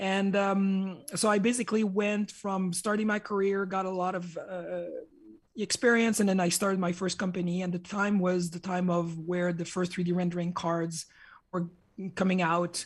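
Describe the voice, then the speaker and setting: The speech has a French Canadian accent and a moderate pace. The recording is very clean, with a silent background. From Quebec. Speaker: hardware engineer and entrepreneur. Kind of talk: conference talk. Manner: hesitant, many fillers.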